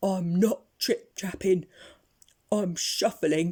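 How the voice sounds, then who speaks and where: A very slow, put-on character voice. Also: female-sounding voice, medium pitch for a woman. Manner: timid.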